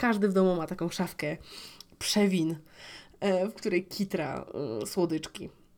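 A woman speaks at a medium pitch and fairly slow pace, with fairly even intonation and long, frequent pauses. The recording is very clean, with a silent background. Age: 20s. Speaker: podcast host. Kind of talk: personal monologue. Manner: casual, with filler sounds.

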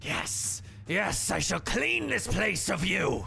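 Hissing, a man drags out a put-on character voice at a very slow pace amid clear background noise. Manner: hissing, menacing.

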